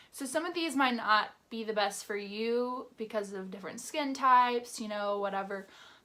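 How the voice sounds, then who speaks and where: A woman with a fairly high pitch talks at a moderate pace in a plain, everyday voice. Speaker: beauty YouTuber. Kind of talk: product review vlog.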